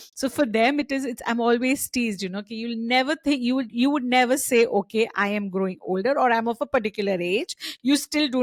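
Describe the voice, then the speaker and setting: A woman talks at a fairly quick pace in a fairly high pitch with ordinary variation, an ordinary speaking voice. The sound is dry and close with no echo. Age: 50s. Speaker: podcast host. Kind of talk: casual chat.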